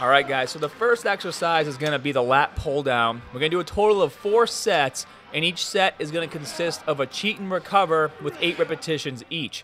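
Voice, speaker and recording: Faint music plays behind a man who talks at a fairly quick pace with hardly any pauses and ordinary pitch variation. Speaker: fitness vlogger. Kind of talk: tutorial. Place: gym.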